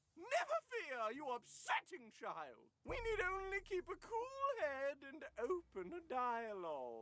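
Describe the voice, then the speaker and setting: Putting on a character voice, a woman talks slowly, at a fairly slow pace, in a high pitch. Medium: virtual streamer. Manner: imperious, formal.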